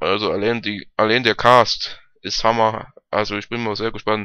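A man's fairly low voice has a bright, sharp tone and a clear, smooth tone, with little pitch movement. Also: moderate pace.

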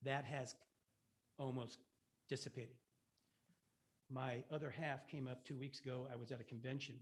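A somewhat breathy, monotone delivery with flat intonation at a moderate pace, broken by long, frequent pauses. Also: man, medium pitch for a man. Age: 70s. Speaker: resident giving public comment. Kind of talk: public comment at a meeting. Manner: halting.

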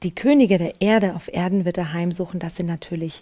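The voice has a dark, mellow tone and ordinary pitch variation, moving at a moderate pace over a quiet background. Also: woman. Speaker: presenter. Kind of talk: devotional Bible commentary. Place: studio. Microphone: headset.

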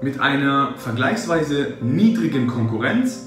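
Over clear background music, a man's voice moves through very wide pitch swings, with audible room echo. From Germany. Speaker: translator, interpreter, voice actor, German teacher. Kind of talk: interview answer. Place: office.

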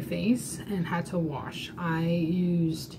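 Over noticeable background noise, a woman talks at a fairly low pitch. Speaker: makeup demonstrator. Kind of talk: tutorial. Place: home room. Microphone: webcam.

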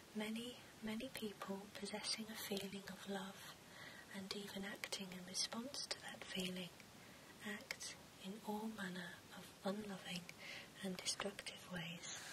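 A soft-spoken woman at a fairly slow pace, with long, frequent pauses over loud background noise. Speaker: bookseller roleplay host. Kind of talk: soft-spoken reading aloud and roleplay chat. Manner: soft, hushed ASMR reading voice.

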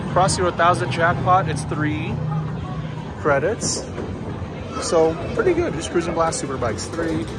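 A man's voice over loud background music. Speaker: arcade tour vlogger. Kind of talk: casual tour commentary. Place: hall. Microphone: phone near.

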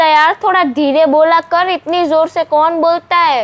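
A woman speaks with an extremely high pitch. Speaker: YouTuber, sister in a sibling challenge. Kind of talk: casual talk to camera. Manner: upbeat, chatty.

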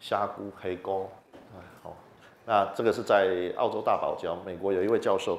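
The speaker has a Taiwanese accent and talks at a fairly quick pace. Room echo is audible. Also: man. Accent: Taiwanese Mandarin. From Taiwan, Chiayi. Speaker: entomology professor; university professor, lecturer. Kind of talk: popular science lecture. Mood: friendly, animated. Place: hall. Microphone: handheld.

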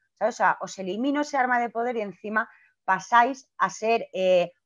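Recorded dry with no echo against a quiet background, a woman talks at a fairly slow pace with ordinary pitch variation. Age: 40s. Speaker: clown and theatre director; speaker. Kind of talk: talk on a video call. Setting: video call. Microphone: video call.

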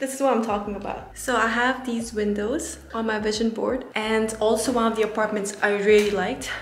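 A woman at a fairly quick pace, with fairly even intonation and hardly any pauses, amid light background noise and audible room echo. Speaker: vlogger. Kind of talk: casual vlog chat. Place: home room. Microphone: phone near.

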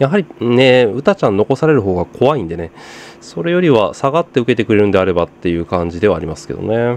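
A man races along at a very fast pace, his pitch swinging very widely, with noticeable background noise behind him. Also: medium pitch for a man. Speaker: football commentary youtuber. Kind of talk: casual match watch-along commentary.

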